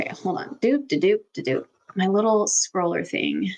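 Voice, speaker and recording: Quietly and at a moderate pace, a woman with an American accent speaks in a medium pitch. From Texas. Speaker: intuition coach and teacher. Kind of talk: live online workshop Q&A. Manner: casual, filler-heavy.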